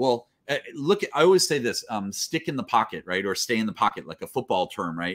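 A man at a very fast pace, with very wide pitch swings. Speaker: interview guest, speaker, coach. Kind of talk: interview answer. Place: home room.

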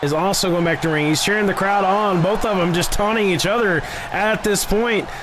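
A man speaks with high pitch and an animated tone at a fairly quick pace, his loudness very even over noticeable background noise. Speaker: wrestling commentator. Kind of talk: live wrestling commentary. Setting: video game wrestling commentary voiceover. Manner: animated, excitable play-by-play. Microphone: headset.

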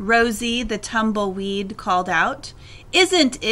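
The clip is plain reading aloud.

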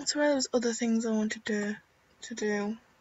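Croaky and slightly mellow, a woman's fairly high voice moves at a moderate pace with ordinary pitch variation.

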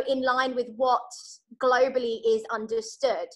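With lively intonation and a British accent, the speaker talks at a moderate pace over a quiet background. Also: woman. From UK. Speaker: charity worker; guest. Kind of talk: guest talk. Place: home room. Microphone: video call.

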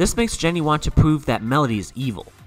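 Over background music, a man talks at a fairly quick pace, his pitch swinging very widely. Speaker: narrator. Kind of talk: cartoon character analysis narration.

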